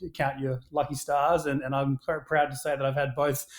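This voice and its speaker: In an Australian accent, a man talks at a moderate pace. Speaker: action sports brand founder. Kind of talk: podcast interview. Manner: hesitant, many fillers.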